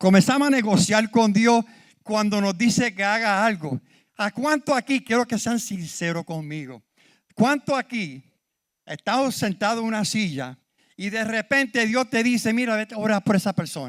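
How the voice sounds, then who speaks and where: With lively intonation and a high pitch, a man talks at a moderate pace in a very clean, silent-background recording with dry, close sound and no echo. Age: 70s. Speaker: preacher. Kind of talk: sermon. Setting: church.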